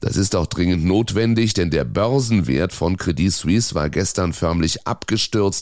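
On a very clean recording with a silent background, a man speaks in a very deep, low pitch. His pace is fairly slow and his intonation lively. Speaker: news podcast presenter. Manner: formal; even, measured, clear and businesslike.

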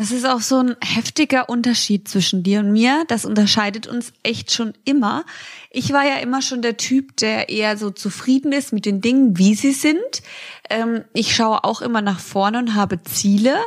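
A woman with an ordinary speaking voice talks at a moderate pace, fairly high in pitch, with ordinary pitch variation. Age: 20s. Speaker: podcast co-host. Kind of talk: casual chat.

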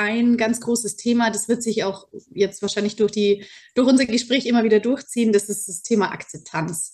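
A woman's somewhat breathy voice, fairly high in pitch, with fairly even intonation at a moderate pace. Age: 30s. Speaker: teacher and program participant. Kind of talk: interview testimony.

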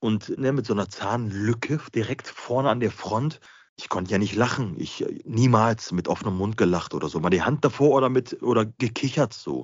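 This man has a medium pitch and ordinary pitch variation. He talks at a moderate pace. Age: 40s. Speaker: dental patient sharing his experience. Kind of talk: interview. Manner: halting.

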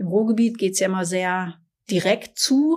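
A woman's an ordinary speaking voice at medium pitch, with ordinary pitch variation and a fairly slow pace, on a very clean recording with a silent background. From Ruhr area, Germany (Essen). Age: 50s. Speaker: corporate podcast co-host. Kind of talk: casual chat. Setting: company office.

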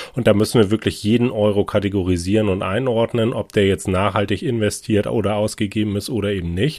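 Fairly quick in pace, an unremarkable speaking voice keeps its intonation fairly even. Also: man, fairly low pitch for a man, hardly any pauses. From northern Germany, Hamburg. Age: 30s. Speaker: finance director. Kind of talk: interview.

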